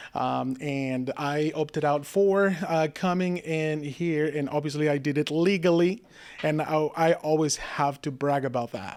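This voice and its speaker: On a very clean recording with a silent background, a man with a Spanish accent speaks fairly slowly at a fairly high pitch, his intonation fairly even. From Mexico, Monterrey. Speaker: political candidate. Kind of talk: interview. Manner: halting.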